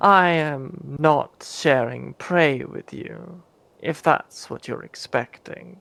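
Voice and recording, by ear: In a put-on character voice at a low-to-middle pitch, the speaker goes at a very slow pace.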